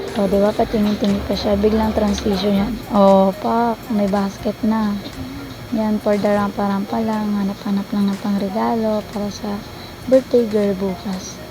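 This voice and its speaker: Amid noticeable background noise, a woman at medium pitch speaks at a fairly slow pace in a monotone, flat delivery. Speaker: vlogger. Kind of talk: casual vlog narration. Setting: on a motorbike, then in a mall.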